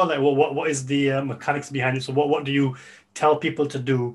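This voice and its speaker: Fairly quick and fairly even in intonation, a man with a fairly high pitch speaks in a plain, everyday voice. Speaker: podcast host. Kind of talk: podcast interview.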